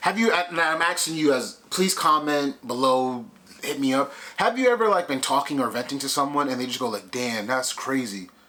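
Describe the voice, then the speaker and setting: Bright and sharp in tone, a man talks at a fairly quick pace with lively intonation. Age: 30s. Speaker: vlogger. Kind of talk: casual vlog monologue. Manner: conversational, halting with fillers.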